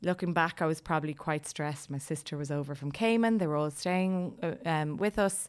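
With an Irish accent, a woman speaks at a fairly quick pace in a very deep, low pitch, on a very clean recording with a silent background. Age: 40s. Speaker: life coach and yoga teacher. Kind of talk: interview about personal experience. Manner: talkative.

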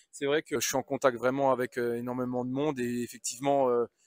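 On a very clean recording with a silent background, the speech runs at a moderate pace with a dry, close sound with no echo. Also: man. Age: 30s. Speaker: agricultural machinery sales inspector. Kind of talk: interview. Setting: trade show stand. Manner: halting.

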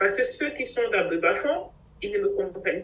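With noticeable background noise behind her, a woman speaks at a moderate pace in a high pitch with very wide pitch swings. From Cameroon. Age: 50s. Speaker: doctor. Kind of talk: interview.

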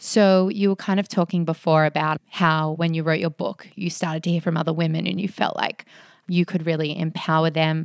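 In an Australian accent, a woman talks at a fairly low pitch with fairly even intonation, the recording very clean with a silent background and a dry, close sound with no echo. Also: fairly quick pace. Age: 30s. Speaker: podcast co-host. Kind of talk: casual chat.

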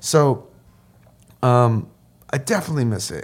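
Somewhat breathy, a man speaks with an American accent. His pitch is medium and varies in an ordinary way. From upstate New York (Sullivan County). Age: 50s. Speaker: photographer and professor. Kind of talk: casual interview chat. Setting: studio.

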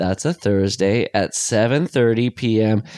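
Against a quiet background, the speaker talks at a very slow pace. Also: man. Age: 40s. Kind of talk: casual chat.

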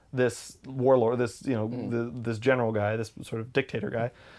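In a very clean recording with a silent background, a man with a plain, everyday voice talks at a moderate pace, medium in pitch, with fairly even intonation. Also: big swings in loudness. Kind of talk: casual chat.

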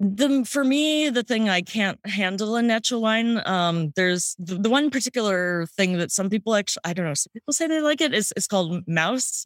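A woman talks fairly quickly in a plain, everyday voice, fairly high in pitch, with lively intonation and hardly any pauses. The sound is dry and close, with no echo. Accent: American. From St. Louis, Missouri, US Midwest. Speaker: sommelier and wine podcaster. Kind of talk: casual interview chat. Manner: casual, filler-heavy.

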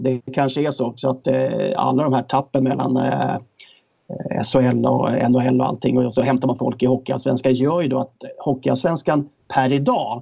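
A man with a medium pitch and a dark, mellow tone talks at a moderate pace with vocal fry and fairly even intonation. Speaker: hockey pundit, former player. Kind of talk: casual chat.

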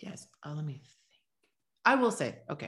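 A woman speaks at a fairly quick pace in a very deep, low voice. Her tone is bright and sharp. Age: 30s. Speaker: birth center owner. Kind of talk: interview.

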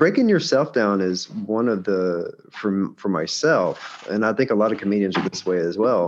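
A man speaks in a Southern US accent at a fairly low pitch. He goes at a fairly slow pace with lively intonation. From Alabama, US South. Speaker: stand-up comedian. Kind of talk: casual chat. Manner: repeats words, halting.

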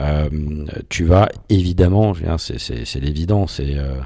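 A man with a very deep, low pitch and a dark, mellow tone speaks with ordinary pitch variation. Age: 40s. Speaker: executive of a legal rankings company. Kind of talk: interview. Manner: halting, many fillers.

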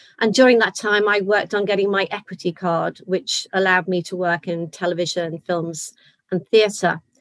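In a slight Liverpool accent, a woman speaks at a medium pitch with fairly even intonation. Her pace is moderate, and the sound is dry and close with no echo. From Liverpool, England. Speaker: actor and choir leader. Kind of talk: casual chat. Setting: video call.

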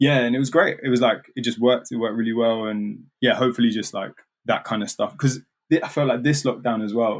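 Talking at a fairly quick pace, a man with a London accent and medium pitch keeps a fairly even intonation. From London (Hackney, East then North London). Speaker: artist. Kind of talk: casual chat.

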